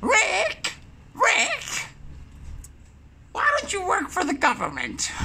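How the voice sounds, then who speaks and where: A put-on character voice at an extremely high pitch drawls at a very slow pace over clear background noise. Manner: imitation of mother, admittedly not accurate.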